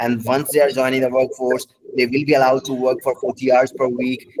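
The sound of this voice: The man's voice sits at medium pitch with a slightly mellow tone.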